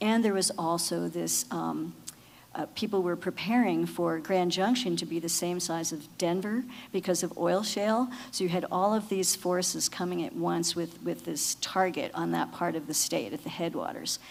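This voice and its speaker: A woman with an ordinary speaking voice and a fairly low pitch talks at a moderate pace. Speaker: lawyer on a water panel. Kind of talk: panel talk.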